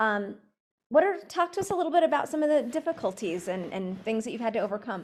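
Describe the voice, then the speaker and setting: The speaker is a woman with an American accent. Her pitch rises and falls very widely. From New Mexico. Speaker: university program director, moderator. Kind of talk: panel moderation.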